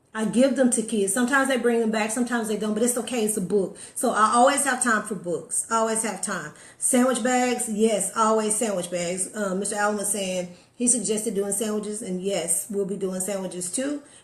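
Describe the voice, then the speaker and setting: At a fairly quick pace, a woman speaks in a fairly high pitch with ordinary pitch variation, and room echo is audible. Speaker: motivational live streamer. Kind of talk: casual live stream chat. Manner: fast.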